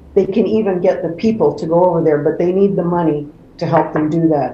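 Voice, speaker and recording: Over noticeable background noise and audible room echo, a woman talks at a moderate pace with a fairly low pitch and fairly even intonation. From born in England, raised in Canada. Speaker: community organization president. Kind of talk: interview. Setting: video call from home.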